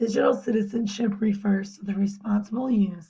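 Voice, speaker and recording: At a moderate pace, a woman speaks at a medium pitch in a somewhat breathy voice with a dark, mellow tone and fairly even intonation. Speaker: teacher and volleyball coach. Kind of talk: class presentation.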